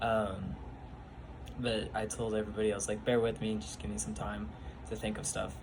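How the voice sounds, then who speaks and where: A man's fairly low voice at a fairly quick pace, lively in intonation, with audible room echo. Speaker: youth bible study leader. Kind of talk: casual personal testimony vlog. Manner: halting, many fillers.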